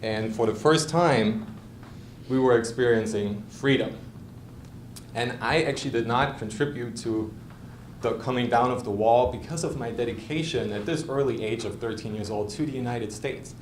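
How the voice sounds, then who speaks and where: With a German accent, this voice moves at a moderate pace with ordinary pitch variation and audible room echo. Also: man, medium pitch for a man. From East Germany. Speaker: lawyer. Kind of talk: prepared speech. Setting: club meeting with audience.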